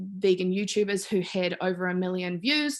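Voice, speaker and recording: A woman with a New Zealand accent speaks at a moderate pace and a medium pitch. The background is quiet. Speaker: PhD student giving a talk. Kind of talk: academic talk. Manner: hesitant, many fillers.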